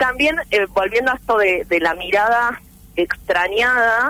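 A woman's voice has a bright, sharp tone and fairly high pitch. She speaks at a fairly slow pace. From Argentina, southeast Buenos Aires province (rural). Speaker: writer and journalist. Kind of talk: interview.

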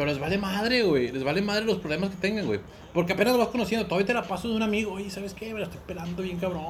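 Music plays in the background, and room echo is audible. A man speaks over it at a high pitch with ordinary variation. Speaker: podcast co-host. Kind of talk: casual chat. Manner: animated.

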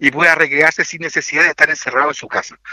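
A man speaks in a Chilean accent at a fairly quick pace. His pitch is fairly high. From Chile, Maule region (Linares). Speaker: municipal tourism director. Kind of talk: radio interview. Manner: halting, many repetitions and fillers.

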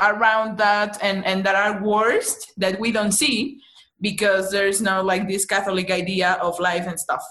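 A woman with a Mexican accent talks at a fairly slow pace and a medium pitch. Her intonation stays fairly even. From Mexico City. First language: Spanish. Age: 30s. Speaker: psychologist and beginner stand-up comedian. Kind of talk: casual interview chat. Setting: remote call.

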